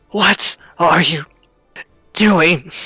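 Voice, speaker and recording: Faint music plays behind a put-on character voice that is hoarse and raspy at a middle pitch. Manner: choking, strained.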